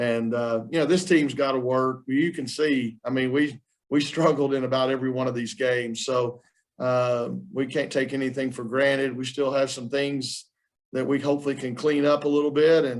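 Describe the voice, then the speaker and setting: Speaking with a Southern US accent, a man holds a medium pitch, a moderate pace and fairly even intonation. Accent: Southern twang. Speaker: college basketball coach. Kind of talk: press conference. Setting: video call. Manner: casual, halting with fillers.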